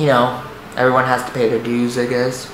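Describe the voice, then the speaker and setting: Male speech carrying audible room echo, plus noticeable background noise. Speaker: vlogger. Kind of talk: personal testimony. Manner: halting, repeats words.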